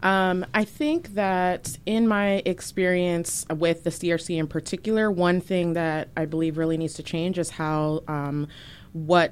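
With an American accent, a woman talks in a fairly low pitch with fairly even intonation and a normal speaking voice. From Virginia. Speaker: city council candidate. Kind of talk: interview.

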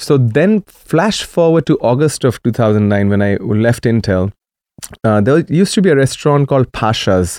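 With a Marathi accent and lively intonation, this voice moves at a moderate pace in a dry, close sound with no echo, on a very clean recording with a silent background. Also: man, medium pitch for a man. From India, Maharashtra. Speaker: DJ and dance event promoter. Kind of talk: radio interview. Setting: radio studio.

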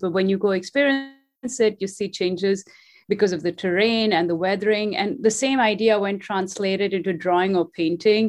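Over music in the background, a woman talks at a fairly quick pace in a medium pitch. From India. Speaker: visual artist.

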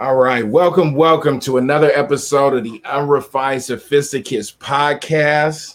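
In an ordinary speaking voice with an American accent, a man talks fairly slowly at a fairly high pitch with fairly even intonation. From San Diego, California. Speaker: podcast host. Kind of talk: casual chat.

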